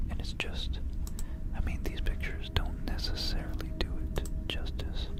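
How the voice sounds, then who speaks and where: A man whispers amid noticeable background noise. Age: young. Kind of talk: ASMR whispered talk to camera. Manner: soft-spoken, whispering.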